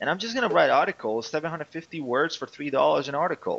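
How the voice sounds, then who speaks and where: A man with a non-native accent is heard in a dry, close sound with no echo. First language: not English. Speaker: online fitness coach and entrepreneur. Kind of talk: interview. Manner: hesitant, with repetitions.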